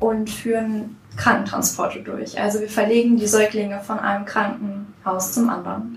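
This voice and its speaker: Amid noticeable background noise and audible room echo, a woman with a fairly high pitch talks at a moderate pace with fairly even intonation. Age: young. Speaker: federal volunteer service worker. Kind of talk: podcast interview.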